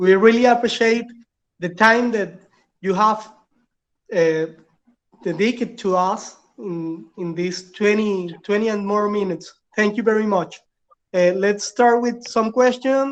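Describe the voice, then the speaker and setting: A woman with a Spanish accent at medium pitch, fairly slow pace, ordinary pitch variation, and long, frequent pauses. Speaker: event moderator. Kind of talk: formal moderating.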